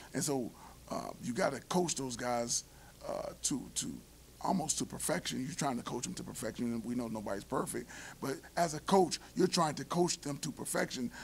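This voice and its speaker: A man talks with vocal fry over light background noise. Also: moderate pace. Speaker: football coach. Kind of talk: interview answer. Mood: calm, reflective after a loss. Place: meeting room. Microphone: podium.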